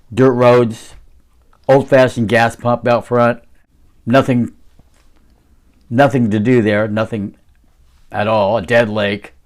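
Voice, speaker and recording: A man's medium-pitched voice at a very slow pace, with monotone, flat intonation and long, frequent pauses. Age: 60s. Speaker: interview guest recounting a haunting. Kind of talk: casual interview, personal story. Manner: halting, with fillers.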